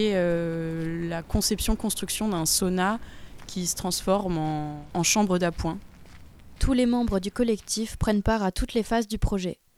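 An ordinary speaking voice, a woman at a medium pitch, with ordinary pitch variation and a moderate pace. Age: 20s. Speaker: architect. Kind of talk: reportage interview.

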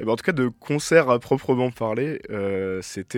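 A man's fairly slow delivery on a very clean recording with a silent background. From Brittany, France. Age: 20s. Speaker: electronic music producer and DJ. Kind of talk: radio interview. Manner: halting.

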